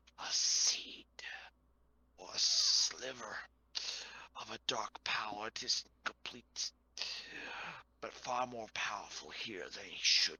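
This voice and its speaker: Someone performs a put-on character voice at a fairly slow pace, with long pauses coming often. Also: man, medium pitch for a man. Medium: actual play. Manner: cryptic, measured, pausing for words.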